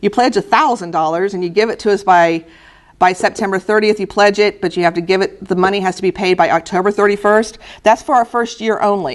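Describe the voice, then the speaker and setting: A woman's medium-pitched voice at a fairly quick pace, with ordinary pitch variation. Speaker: historical society president giving a talk. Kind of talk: recorded presentation. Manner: fast; casual with many fillers.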